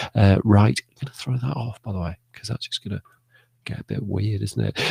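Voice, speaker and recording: A quiet, whispering man with an English accent, vocal fry, big swings in loudness and a fairly quick pace, in a dry, close sound with no echo. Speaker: live stream host. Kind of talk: casual live stream chat. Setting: home studio broadcast.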